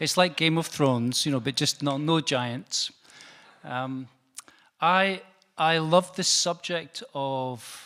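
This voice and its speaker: Bright and sharp in tone, a man speaks with a northeastern Scottish accent in a fairly high pitch with ordinary pitch variation, at a very slow pace with long, frequent pauses, on a very clean recording with a silent background. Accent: Scottish northeast. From Scotland, Perth. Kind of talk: lecture. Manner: hesitant, with fillers.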